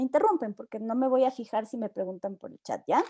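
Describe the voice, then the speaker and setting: A woman speaks in a dark, mellow tone with ordinary pitch variation. The sound is dry and close, with no echo. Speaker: university lecturer. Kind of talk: online lecture.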